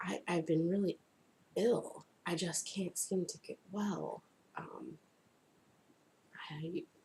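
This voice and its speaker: With long, frequent pauses, a woman speaks at a very slow pace. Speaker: crafts video blogger. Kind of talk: casual vlog talk. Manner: casual, hesitant with fillers.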